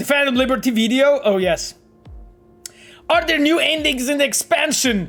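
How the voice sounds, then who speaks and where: The speaker has a Polish accent. Music plays in the background. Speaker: game designer streaming gameplay. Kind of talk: casual live stream chat. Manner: animated; halting.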